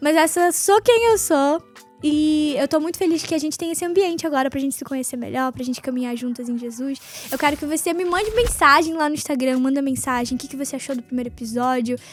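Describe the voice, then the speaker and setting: This woman speaks at a very fast pace in a high pitch. Her pitch varies in an ordinary way, with noticeable background noise behind her. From northern Brazil, Belém do Pará. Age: 20s. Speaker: podcast host. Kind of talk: casual faith talk.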